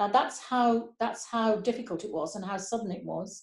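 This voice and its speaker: A woman talks at a moderate pace with a fairly high pitch. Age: 60s. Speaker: pastor. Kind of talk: testimony. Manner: halting.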